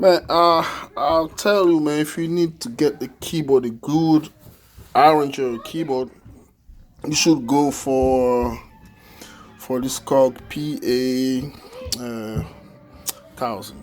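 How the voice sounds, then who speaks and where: A man with an Ivorian accent speaks at a very slow pace, with long, frequent pauses. His pitch varies in an ordinary way, and music plays in the background. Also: fairly high pitch for a man. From Ivory Coast. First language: French. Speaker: musician demonstrating a keyboard. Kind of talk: product demo tutorial. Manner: halting, many fillers.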